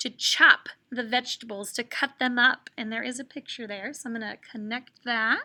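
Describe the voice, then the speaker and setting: Bright and sharp, a woman's high voice moves at a moderate pace with fairly even intonation and hardly any pauses. Her loudness swings a lot. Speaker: second grade teacher. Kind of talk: phonics lesson for children.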